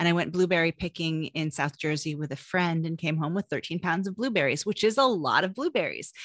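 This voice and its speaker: A woman with a plain, everyday voice, at a fairly low pitch and fairly quick pace, with hardly any pauses, ordinary pitch variation, a dry, close sound with no echo, and a very clean recording against a silent background. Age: 40s. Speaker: cookbook author. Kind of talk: casual chat.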